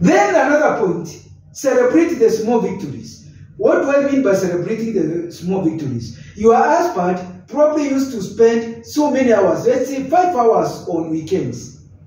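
A man's high-pitched voice at a moderate pace, with very wide pitch swings and strong room echo. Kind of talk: advice talk to camera. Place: office. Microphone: camera far.

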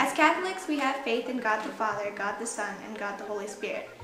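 A woman at a fairly quick pace, with clear music in the background and audible room echo. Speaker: presenter. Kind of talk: lecture. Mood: playful, giggly. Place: home room.

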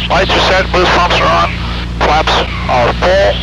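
A man speaks at a moderate pace, with loud background noise and dry sound with no echo. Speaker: flight instructor. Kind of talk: cockpit instruction and radio calls. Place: plane. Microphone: headset.

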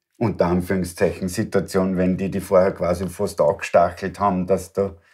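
Speaking in an Austrian accent, a man has a very deep, low pitch and a dark, mellow tone. His intonation is monotone and flat against a quiet background. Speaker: interview host. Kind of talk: interview. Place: home room.

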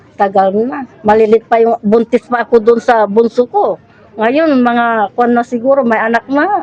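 A woman's fairly slow speech at a fairly high pitch with ordinary pitch variation, over noticeable background noise. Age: 60s. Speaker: flood-affected resident. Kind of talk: interview. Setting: flooded house.

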